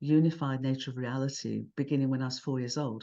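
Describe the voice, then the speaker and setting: A woman with a British accent speaks in a dark, mellow tone against a quiet background. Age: 70s. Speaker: cosmologist and author. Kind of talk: interview conversation.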